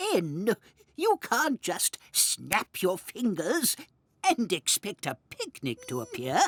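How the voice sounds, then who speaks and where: A fairly high-pitched cartoonish character voice at a very slow pace. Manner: prim, bossy.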